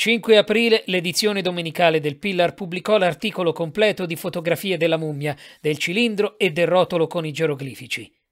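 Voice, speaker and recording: A solemn tone comes at a fairly quick pace with ordinary pitch variation, on a very clean recording with a silent background. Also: man, high pitch for a man. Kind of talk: audiobook reading of gothic horror fiction, scripted narration. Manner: measured, formal, solemn literary delivery.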